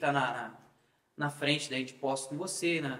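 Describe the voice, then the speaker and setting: The man's speech comes at a moderate pace. There is audible echo in the room. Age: 20s. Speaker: political activist. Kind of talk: casual chat. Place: studio.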